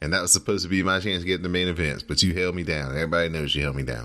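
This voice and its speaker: A man's very deep, low voice carries a bright, sharp tone and vocal fry. The background is quiet. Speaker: podcast host. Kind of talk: casual podcast chat. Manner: conversational, laughs often.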